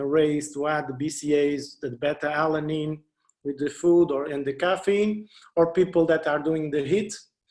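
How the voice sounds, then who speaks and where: Fairly even intonation goes along with a moderate pace in this speech. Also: man. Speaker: speaker on sports nutrition. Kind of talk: lecture. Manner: halting, many repetitions.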